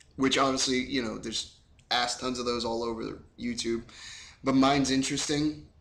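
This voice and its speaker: Room echo is audible around a man speaking at medium pitch. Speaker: fitness vlogger. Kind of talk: casual vlog update. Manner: fast; animated.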